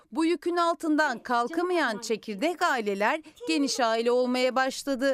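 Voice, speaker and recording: Dry and close with no echo, the voice has lively intonation at a fairly slow pace. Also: woman. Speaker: childcare agency owner. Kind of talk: interview.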